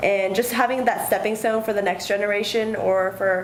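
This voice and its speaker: A woman's medium-pitched voice at a moderate pace, monotone and flat, with audible room echo and noticeable background noise. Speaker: university student. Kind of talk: interview.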